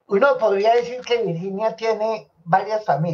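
Lively in her intonation, a woman speaks at a moderate pace with a dark, mellow tone. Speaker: sociologist; guest. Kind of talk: interview conversation. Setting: live stream. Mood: warm, reminiscing. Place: home room. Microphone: webcam.

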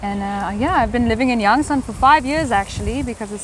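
A woman's fairly high, fairly quick voice in a South African accent, dry with no echo, over light background noise. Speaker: English teacher. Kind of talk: casual chat. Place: garden.

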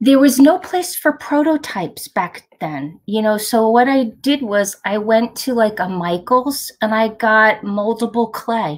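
In a Long Island accent, a woman speaks fairly slowly with a fairly high pitch against a quiet background. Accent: Long Island New York. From Long Island, New York; New York. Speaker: inventor and nurse; guest. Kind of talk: interview. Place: home room. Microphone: webcam.

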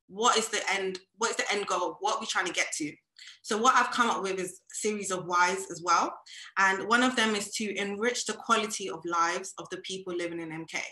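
Against a quiet background with audible room echo, a woman talks at a fairly quick pace with ordinary pitch variation. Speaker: music industry creative; speaker. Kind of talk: panel discussion. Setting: video call. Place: home room. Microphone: video call.

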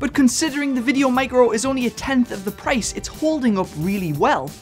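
At a moderate pace a man speaks, faint music sounding in the background. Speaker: gear review host. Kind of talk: tutorial. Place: studio. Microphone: studio mic.

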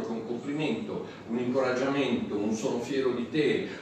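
A man talking fairly quickly amid strong room echo and light background noise. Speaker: pastor. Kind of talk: sermon. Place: hall.

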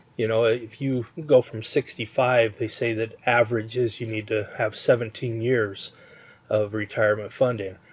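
A man speaks in a medium pitch with a flat, monotone delivery. His pace is fairly slow and his voice is somewhat breathy. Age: 50s. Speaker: online marketer. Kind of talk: webinar sales pitch. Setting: online webinar with screen share.

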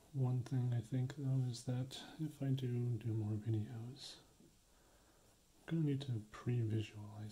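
Soft-spoken and somewhat breathy, a man talks at a very slow pace with fairly even intonation over light background noise. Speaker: beginner ASMR creator. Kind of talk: ASMR practice video talk to camera.

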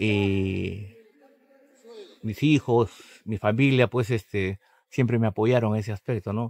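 A man's fairly low voice, very slow, with fairly even intonation, long and frequent pauses, and a dry sound with no echo. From Peru, Callao; Peru. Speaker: retired footballer. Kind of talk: interview. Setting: outdoors at a stadium. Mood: reminiscing about his career. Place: stadium. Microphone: lapel.

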